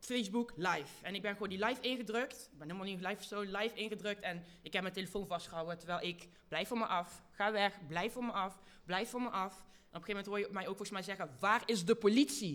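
A woman talks at a very fast pace, her loudness swinging a lot. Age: young. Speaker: activist. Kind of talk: live panel talk before audience. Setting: stage with audience.

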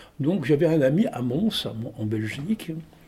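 A man's very slow voice, dark and mellow in tone, somewhat breathy, fairly high-pitched, with lively intonation. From Tunisia (Tunis). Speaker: storyteller and theatre actor. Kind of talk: interview.

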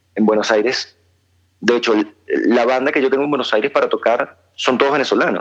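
Here a man has an ordinary speaking voice at a medium pitch, moving at a fairly quick pace. His intonation stays fairly even, and his loudness is very even. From Venezuela, born in Argentina. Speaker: musician. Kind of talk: interview. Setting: phone call.

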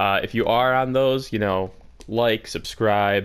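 Here is a man with a plain, everyday voice. His pitch is fairly low, his intonation fairly even. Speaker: podcast co-host. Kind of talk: casual comedic chat. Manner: joking, crude humor.

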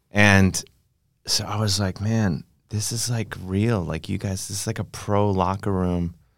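A man with an American accent uses a normal speaking voice, fairly low in pitch, at a fairly slow pace and with fairly even intonation. The recording is very clean, with a silent background. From Cleveland, Ohio (east side). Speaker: comedian. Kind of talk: casual chat. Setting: studio.

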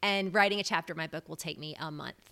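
A woman with a fairly low pitch and a bright, sharp tone on a very clean recording with a silent background. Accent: American. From US South, Memphis, Tennessee. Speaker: pop culture podcaster and book content creator. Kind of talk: casual interview.

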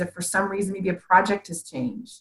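A woman's somewhat breathy, medium-pitched voice with an American accent, at a fairly quick pace. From Ohio, US Midwest. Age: 50s. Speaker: business strategist. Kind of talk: interview.

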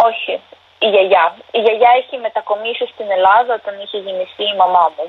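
The pace is moderate and the intonation fairly even. Loudness swings widely. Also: woman, medium pitch for a woman. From Ukraine (Donetsk, then Dnipro). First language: Ukrainian or Russian (speaking Greek). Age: 20s. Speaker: university student, war refugee. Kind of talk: interview. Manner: halting.

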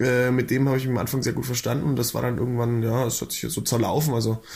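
Speaking at a fairly quick pace, a man sounds somewhat breathy, his intonation fairly even. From Swabia, near Augsburg, Germany. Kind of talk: casual chat.

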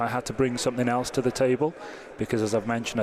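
Against noticeable background noise, a man with a Welsh accent speaks at medium pitch in a monotone, flat intonation. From Wales. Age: 30s. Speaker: soccer technical advisor. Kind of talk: interview.

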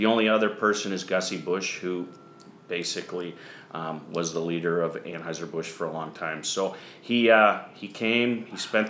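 Over noticeable background noise and audible room echo, a man with an American accent speaks in a very deep, low voice with fairly even intonation. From US Midwest (eastern Iowa). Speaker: horse farm general manager. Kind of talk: interview. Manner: hesitant with fillers.

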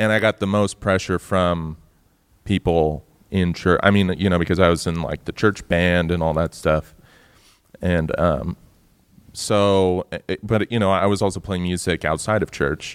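Very deep and low, a man's voice moves at a moderate pace with fairly even intonation in a dry, close sound with no echo. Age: 30s. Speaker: musician in a band. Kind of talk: casual chat. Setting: stage with audience.

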